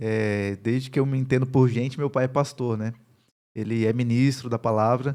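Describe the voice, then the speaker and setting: A man's dark, mellow voice at medium pitch and moderate pace, with monotone, flat intonation, on a very clean recording with a silent background. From Northeast Brazil, Campina Grande, Paraíba. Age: 30s. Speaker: pastor and university professor. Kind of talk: podcast interview.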